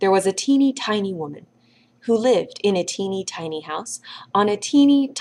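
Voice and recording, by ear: A natural voice reading aloud, its intonation lively.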